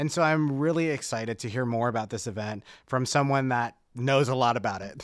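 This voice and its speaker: A man's ordinary speaking voice with an American accent, medium pitch and ordinary pitch variation, at a fairly quick pace in a very clean recording with a silent background. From Dallas, Texas. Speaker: podcast co-host. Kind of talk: casual chat.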